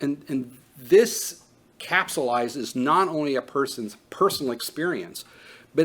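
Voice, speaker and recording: A plain, everyday voice from a man, fairly high in pitch, with lively intonation and a fairly slow pace. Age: 50s. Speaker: trauma training instructor. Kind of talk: lecture. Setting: training room with live audience.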